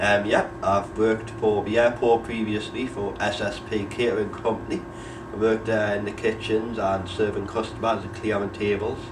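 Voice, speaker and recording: A man with a fairly low pitch speaks at a moderate pace in a monotone, flat intonation, with noticeable background noise and audible room echo. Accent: Geordie. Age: 20s. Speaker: unemployed young person. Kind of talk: documentary interview.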